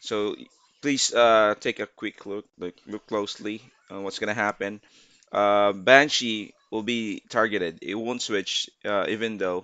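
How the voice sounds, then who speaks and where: A man's fairly low voice with a non-native accent, at a fairly slow pace with fairly even intonation. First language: not English. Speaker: gaming YouTuber. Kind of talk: gameplay tutorial. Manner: halting, many fillers.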